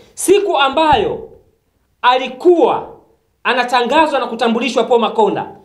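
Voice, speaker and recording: Over a quiet background with audible room echo, a man talks at an extremely high pitch with ordinary pitch variation. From Tanzania. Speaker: political activist commentator. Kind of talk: political monologue to camera. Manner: animated. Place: studio.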